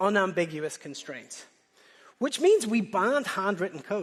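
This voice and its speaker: With a Northern Irish accent, the voice comes across animated at a moderate pace. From Northern Ireland. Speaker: conference speaker, software engineer. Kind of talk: conference talk.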